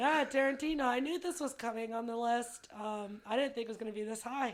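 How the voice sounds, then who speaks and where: A woman's fairly high-pitched voice, an ordinary speaking voice with ordinary pitch variation. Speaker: podcast co-host. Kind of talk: casual chat.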